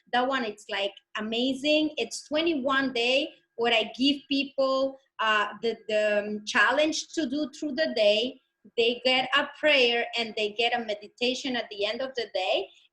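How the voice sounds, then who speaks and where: With a non-native accent, a woman speaks at a fairly slow pace in a bright, sharp tone and a high pitch. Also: ordinary pitch variation. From Dominican Republic. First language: Spanish. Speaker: healer and coach. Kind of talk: interview. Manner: animated.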